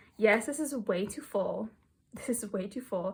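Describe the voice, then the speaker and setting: A woman speaks in a fairly high voice that is somewhat breathy, with ordinary pitch variation. The recording is very clean, with a silent background. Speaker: kpop photocard collector vlogger. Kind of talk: casual chat.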